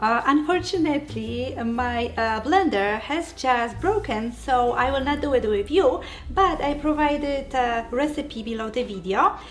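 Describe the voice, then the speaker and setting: A high-pitched woman at a fairly slow pace, lively intonation, audible room echo and noticeable background noise. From Poland. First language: Polish. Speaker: keto cooking channel host and diet coach. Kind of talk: cooking tutorial. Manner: hesitant, many fillers.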